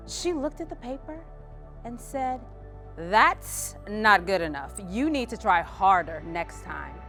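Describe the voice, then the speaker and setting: Music plays in the background as a woman speaks at a fairly slow pace. Her loudness swings widely. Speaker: keynote speaker, sales strategist. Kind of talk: keynote speech to an audience.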